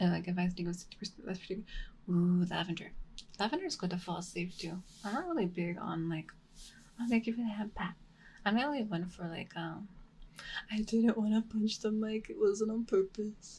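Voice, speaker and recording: A woman speaks at a fairly quick pace with a medium pitch. Her tone is dark and mellow, and somewhat breathy. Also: ordinary pitch variation. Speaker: VTuber ASMR streamer. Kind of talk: casual live-stream chat. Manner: soft-spoken.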